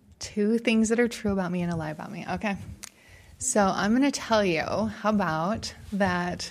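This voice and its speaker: A woman with a plain, everyday voice, ordinary pitch variation and a fairly slow pace, in a very clean recording with a silent background. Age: 40s. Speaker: podcaster. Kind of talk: casual chat. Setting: studio.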